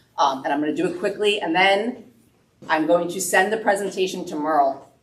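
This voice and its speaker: A woman's fairly low voice at a fairly quick pace, with ordinary pitch variation and audible room echo. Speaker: business owner presenting wood finishes. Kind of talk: presentation to a woodworking club. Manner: fast.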